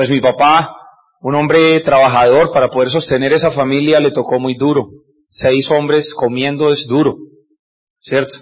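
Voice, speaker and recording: A man speaks at a moderate pace with a fairly high pitch. His intonation is monotone and flat. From Colombia, Cúcuta (Norte de Santander). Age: 40s. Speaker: business speaker, former doctor. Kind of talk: motivational talk. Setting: stage with audience.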